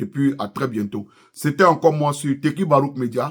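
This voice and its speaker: With an Ivorian accent, a man speaks at a moderate pace in a fairly high pitch with ordinary pitch variation. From Ivory Coast. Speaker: YouTuber, political commentator. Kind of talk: political commentary vlog. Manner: impassioned.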